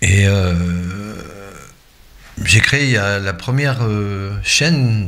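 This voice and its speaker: Audible room echo and noticeable background noise accompany speech with ordinary pitch variation. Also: man. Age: 60s. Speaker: YouTuber and web radio host. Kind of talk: casual vlog monologue. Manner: hesitant, many fillers.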